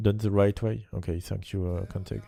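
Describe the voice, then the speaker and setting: A dark, mellow tone with fairly even intonation. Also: man. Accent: French. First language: French. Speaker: esports caster. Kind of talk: live commentary. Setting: livestream. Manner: halting.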